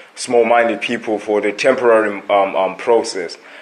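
Noticeable background noise accompanies a man speaking at medium pitch. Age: 20s. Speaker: motivational podcaster. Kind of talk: motivational monologue. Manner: halting, many fillers and repetitions; casual, conversational.

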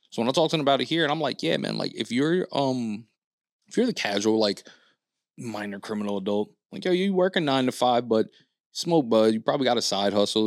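This man talks at a very fast pace with lively intonation, captured in a very clean recording against a silent background. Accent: New York. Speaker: podcast host. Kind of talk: casual chat. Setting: studio.

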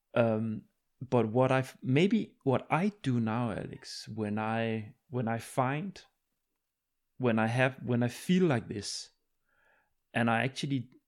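This is a man with a Danish accent. His voice is medium in pitch. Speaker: podcast host. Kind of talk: casual interview.

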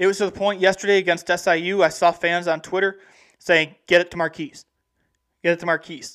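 Delivery is fairly quick. Very clean audio sits over a silent background. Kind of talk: live sports radio patter, a college sports talk show delivered solo to listeners. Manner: chatty, upbeat and conversational, rattling through basketball talk like a fan.

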